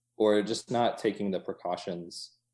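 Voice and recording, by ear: A man speaks at a moderate pace in a fairly low, slightly mellow voice. His intonation stays fairly even.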